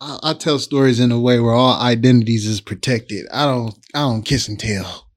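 A man with a normal speaking voice, at a moderate pace with hardly any pauses and fairly even intonation. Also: medium pitch for a man. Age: 30s. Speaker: podcast co-host and hip-hop artist. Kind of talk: casual chat.

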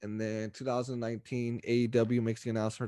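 Here a man speaks in a Californian accent with fairly even intonation. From Stockton, California. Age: 20s. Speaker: wrestling podcast host. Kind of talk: casual chat.

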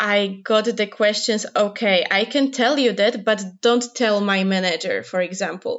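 Fairly even intonation at a fairly slow pace, in a Polish accent. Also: woman. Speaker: researcher. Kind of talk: interview.

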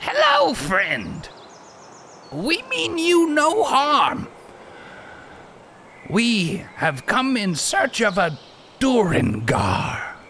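A man's put-on character voice at an extremely high pitch, very slow with long, frequent pauses, over clear background noise. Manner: ingratiating, self-assured.

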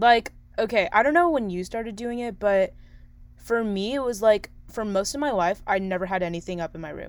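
A woman with a plain, everyday voice, medium-pitched and fairly quick, with lively intonation and big swings in loudness. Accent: American. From San Diego, California. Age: young. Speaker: college radio host. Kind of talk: casual chat.

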